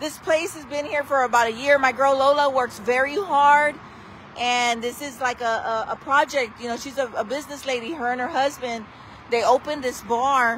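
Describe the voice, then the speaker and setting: With light background noise and a dry sound free of echo, a woman with a high pitch speaks at a moderate pace, showing ordinary pitch variation and big swings in loudness. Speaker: local social media host. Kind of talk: casual vlog chat. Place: street. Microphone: phone near.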